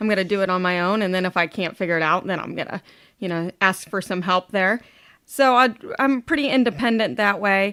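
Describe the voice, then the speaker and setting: Loud and upbeat, a woman with an American accent talks fairly quickly at a medium pitch with ordinary pitch variation. The recording is very clean, with a silent background. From Ohio, US Midwest. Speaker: supplement company representative. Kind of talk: casual interview chat.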